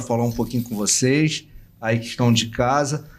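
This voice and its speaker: A man's medium-pitched monotone, flat in intonation, at a moderate pace. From Rio de Janeiro, Brazil. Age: 60s. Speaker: university administrator and educator. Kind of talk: interview self-introduction and appeal. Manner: halting, some repetitions.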